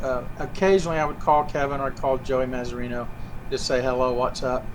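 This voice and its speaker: Talking at a very fast pace with a Southern US accent, a man keeps a medium pitch and fairly even intonation over noticeable background noise. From US South, Georgia. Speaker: puppeteer. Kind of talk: interview.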